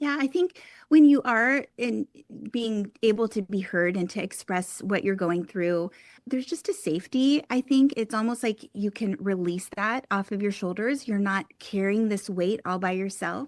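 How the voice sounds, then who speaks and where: Using a normal speaking voice at medium pitch, a woman talks at a moderate pace with lively intonation, in a dry, close sound with no echo on a very clean recording with a silent background. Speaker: life coach. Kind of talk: interview.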